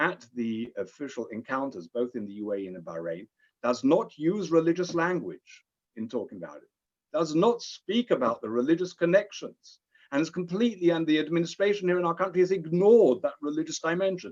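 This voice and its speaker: In a British accent, a man with a high pitch makes very wide pitch swings and big swings in loudness. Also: fairly quick pace. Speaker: rabbi and interfaith diplomat. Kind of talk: lecture.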